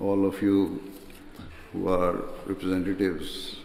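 There is audible room echo and light background noise as a man talks at a fairly low pitch. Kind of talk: formal keynote speech. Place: hall. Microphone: podium.

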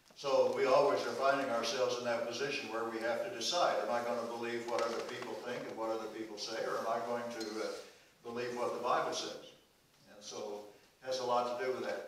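A man at a very fast pace, with strong room echo and light background noise. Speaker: pastor. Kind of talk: sermon. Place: church.

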